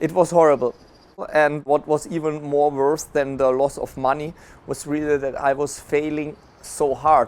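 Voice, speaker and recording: A man with a German accent speaks in a fairly high voice, his intonation flat and monotone. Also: moderate pace. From Germany. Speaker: affiliate marketing entrepreneur. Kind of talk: interview.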